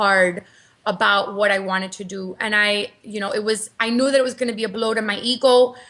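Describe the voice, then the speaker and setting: With a Cuban American accent, a woman speaks at a fairly quick pace. Her pitch is fairly high and her tone bright and sharp. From Cuban American, US. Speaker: marketing entrepreneur and author. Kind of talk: interview. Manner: animated, repeats words.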